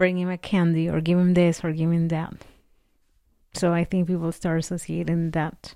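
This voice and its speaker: A woman with a Spanish accent speaks at a moderate pace in a fairly low pitch with a dark, mellow tone. Her intonation is monotone and flat, on a very clean recording with a silent background. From Mexico. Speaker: podcast co-host. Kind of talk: casual chat.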